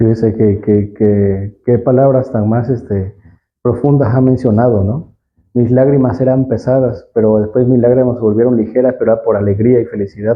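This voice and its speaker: A man's unremarkable speaking voice at a medium pitch, with ordinary pitch variation and a moderate pace. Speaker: Bible language teacher. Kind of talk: teaching talk.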